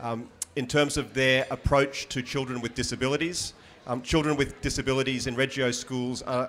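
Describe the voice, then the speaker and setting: A man at medium pitch with an Australian accent and monotone, flat intonation. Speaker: high school history teacher. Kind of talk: panel discussion.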